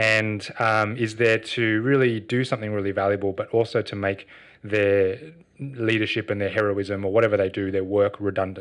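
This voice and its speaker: A man with an Australian accent speaks at a moderate pace and fairly low pitch in a monotone with flat intonation, against a quiet background. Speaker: social enterprise co-founder. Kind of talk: interview.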